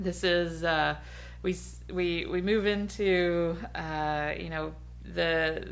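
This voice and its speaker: A woman's voice carries audible room echo. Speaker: podcast co-host. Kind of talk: casual chat.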